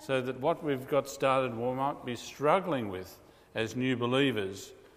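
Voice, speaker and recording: A man with an Australian accent, medium pitch, ordinary pitch variation and a moderate pace, amid noticeable background noise. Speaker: pastor. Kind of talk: sermon. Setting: church.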